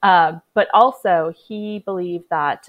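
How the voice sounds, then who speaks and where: With a Canadian accent, an unremarkable speaking voice shows ordinary pitch variation in a dry, close sound with no echo and a quiet background. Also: woman. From British Columbia, Canada (Vancouver Island, near Nanaimo). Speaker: archaeologist and PhD student. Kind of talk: casual interview.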